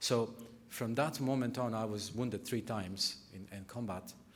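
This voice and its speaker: A man with a Bosnian accent speaks with fairly even intonation amid audible room echo. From Bosnia, Sarajevo. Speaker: nonprofit sector speaker. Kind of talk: conference talk. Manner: halting.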